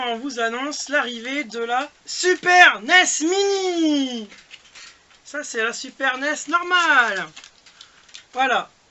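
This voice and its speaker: There is noticeable background noise. Over it, a man talks at a very slow pace. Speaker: retro gaming youtuber. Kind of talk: casual chat. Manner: hesitant.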